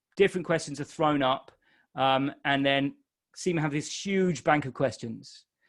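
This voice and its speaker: A man's fairly high voice with a non-native accent and ordinary pitch variation. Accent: non-Irish accent he says listeners may notice. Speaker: exam tutor. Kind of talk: webinar Q&A. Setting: live webinar. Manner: casual, with fillers.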